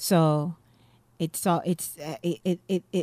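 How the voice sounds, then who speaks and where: A woman's dark, mellow voice with a Jamaican accent, fairly low in pitch, flat and monotone, on a very clean recording with a silent background and a dry, close sound with no echo. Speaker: playwright and comedian. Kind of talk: interview.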